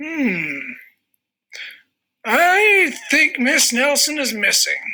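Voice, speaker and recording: A high-pitched, put-on character voice is heard. It moves at a very slow pace. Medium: read story. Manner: slow, ponderous.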